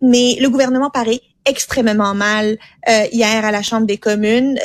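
A woman's fairly high voice, recorded dry and close with no echo. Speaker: political commentator. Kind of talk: political commentary chat.

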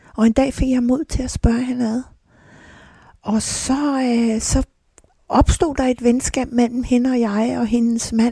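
A woman's dark, mellow tone, fairly high in pitch, at a very slow pace with fairly even intonation, in a dry, close sound with no echo. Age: 60s. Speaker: addiction counsellor and hypnotherapist. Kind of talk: personal testimony interview. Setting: greenhouse.

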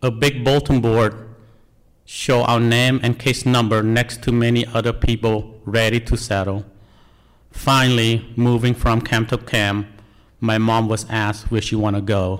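A man with a Cambodian accent speaks at medium pitch in a monotone, flat intonation. His loudness stays very even. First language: Khmer. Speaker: National Guard soldier, refugee. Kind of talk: personal testimony.

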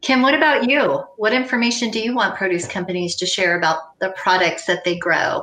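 An unremarkable speaking voice from a woman with an American accent, at a moderate pace with lively intonation. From US, farming family. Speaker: panel moderator and sustainability consultant. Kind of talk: moderated panel discussion.

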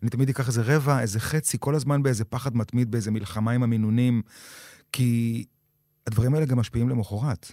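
A man with a medium pitch and a dark, mellow tone speaks fairly quickly with fairly even intonation, recorded very cleanly with a silent background and a dry, close sound with no echo. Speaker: actor and creator with insomnia. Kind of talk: personal testimony interview.

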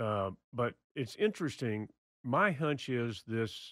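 A man with a Texan accent, medium-pitched, with ordinary pitch variation, in a very clean recording with a silent background and a dry, close sound free of echo. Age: 70s. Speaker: former state official and gun-law advocate. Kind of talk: casual interview discussion. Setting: studio.

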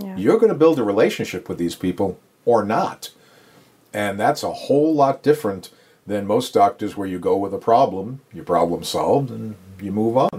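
With an American accent, a man talks in a plain, everyday voice at medium pitch and a moderate pace, his intonation lively and his loudness swinging widely. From New York, Long Island. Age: 60s. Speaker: podiatrist. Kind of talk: casual interview. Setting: home office exam room.

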